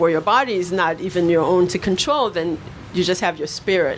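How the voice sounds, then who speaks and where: Over noticeable background noise, a woman with a Brooklyn accent speaks at a moderate pace. Her voice sits fairly low, with ordinary pitch variation. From Haiti, raised in Brooklyn. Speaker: writer. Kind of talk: panel discussion at a book launch. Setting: bookshop event with audience.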